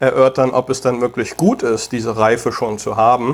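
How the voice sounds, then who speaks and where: This man's voice is pitched in the middle range. He talks fairly slowly. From Germany, Taunus near Frankfurt. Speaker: tech investor and entrepreneur. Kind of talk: interview. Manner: frequent hesitations.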